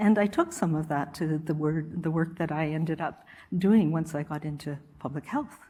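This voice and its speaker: A woman's somewhat breathy, dark, mellow voice at a fairly low pitch, with ordinary pitch variation, on a very clean recording with a silent background. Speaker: public health official. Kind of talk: lecture. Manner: calm.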